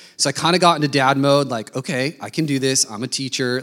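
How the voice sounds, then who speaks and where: In an American accent, this is an ordinary speaking voice at a moderate pace with ordinary pitch variation. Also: man. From Denver, Colorado, US. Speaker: missionary and preacher. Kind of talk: sermon.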